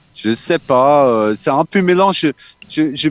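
Fairly high in pitch, a man with an Australian accent speaks at a very slow pace with ordinary pitch variation. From Australia, Townsville. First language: English (speaking French). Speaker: musician. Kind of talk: interview. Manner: halting.

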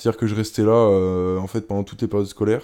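A man speaks at a fairly low pitch with a dark, mellow tone and fairly even intonation. The recording is very clean, with a silent background. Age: 20s. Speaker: former elite kayaker, sports science student. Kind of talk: interview. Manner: hesitant, many fillers and repetitions.

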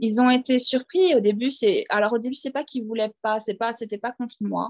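Fairly high pitch marks this woman's voice. She keeps a fairly quick pace. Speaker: teacher living abroad. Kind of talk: interview. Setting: at home. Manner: hesitant, many fillers.

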